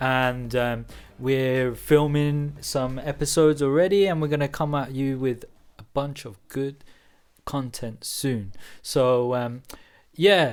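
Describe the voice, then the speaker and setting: A man with a British accent talks at a very slow pace. His pitch is medium, with ordinary pitch variation. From England, Bedfordshire near London. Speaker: podcast co-host. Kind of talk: casual chat.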